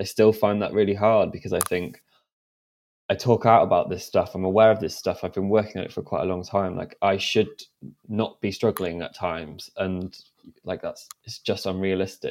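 At a moderate pace, a man speaks in a normal speaking voice with fairly low pitch and fairly even intonation. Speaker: mental health advocate guest. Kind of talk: casual interview chat.

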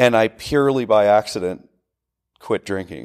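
On a very clean recording with a silent background, a man of medium pitch speaks fairly slowly with ordinary pitch variation in a dry, close sound with no echo. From central Pennsylvania. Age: 40s. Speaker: gym owner and military veteran. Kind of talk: casual conversation.

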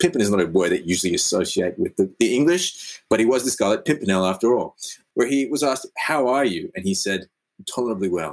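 With an Australian accent, a man of medium pitch speaks at a very fast pace with very wide pitch swings. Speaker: podcast co-host and actor. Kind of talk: casual comedic chat.

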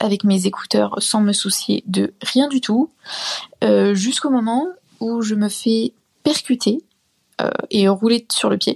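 Recorded dry and close with no echo, a woman talks very slowly in a fairly high, somewhat breathy voice with ordinary pitch variation. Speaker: student, listener. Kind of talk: anecdote. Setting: recorded voice message.

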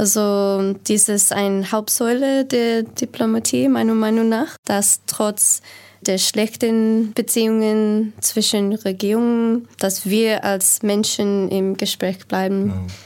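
A woman with an English accent speaks at a very slow pace in a fairly high pitch, with hardly any pauses, very even loudness and fairly even intonation, on a very clean recording with a silent background. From United States. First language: English (speaking German). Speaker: diplomat. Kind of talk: panel discussion.

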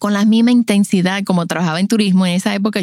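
With a Dominican accent and an animated tone, a woman speaks at a medium pitch in a dry, close recording with no echo. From Dominican Republic, La Romana. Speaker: podcast host and postpartum doula. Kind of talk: personal storytelling.

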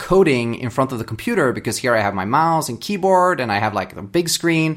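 Speaking with a Swedish accent, a man moves at a fairly quick pace. His pitch swings very widely. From Sweden. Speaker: software developer. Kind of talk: interview.

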